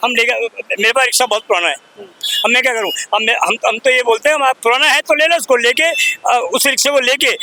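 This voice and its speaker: A man speaks in a raised, projected voice at an extremely high pitch, his loudness very even. The sound is dry and close with no echo, though noticeable background noise is present. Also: ordinary pitch variation, moderate pace. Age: 70s. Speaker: e-rickshaw driver. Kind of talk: street interview.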